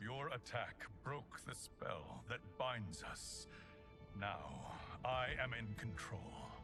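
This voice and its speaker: Over loud background music, a man does a put-on character voice at a medium pitch and a very slow pace. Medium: video game. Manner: dignified, measured.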